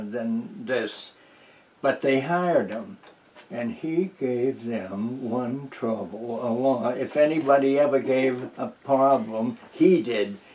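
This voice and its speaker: Very slow speech from a man at a medium pitch, with lively intonation. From New Hampshire. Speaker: retired teacher, war veteran. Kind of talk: oral history interview answer. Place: home room. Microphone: camera far.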